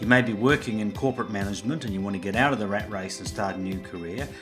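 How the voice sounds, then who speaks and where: Music sits in the background. Over it, a man talks at a very fast pace. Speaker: business consultant, podcast host. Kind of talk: podcast intro and interview questions.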